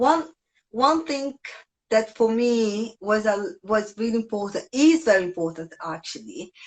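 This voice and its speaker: A woman with a strong non-native accent, lively intonation and a fairly high pitch. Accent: strong foreign. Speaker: yoga teacher. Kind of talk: casual chat.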